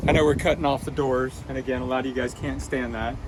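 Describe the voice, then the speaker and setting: A man speaks against noticeable background noise. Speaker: DIY car mechanic video host. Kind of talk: tutorial. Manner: casual.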